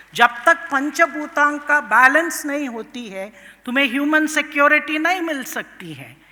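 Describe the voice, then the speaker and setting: Raising and projecting her high voice, a woman with a Tamil accent speaks with hardly any pauses and big swings in loudness. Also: ordinary pitch variation. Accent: Tamil-accented Hindi and Indian English. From Tamil Nadu, India. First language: Tamil (speaking Hindi). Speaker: professor of international politics. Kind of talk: conference speech. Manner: code-switching Hindi and English, with hesitations.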